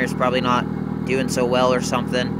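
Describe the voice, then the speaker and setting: A man's voice with a dry sound, no echo and loud background noise. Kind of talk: casual vlog chat. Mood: puzzled, casual. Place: street. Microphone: phone near.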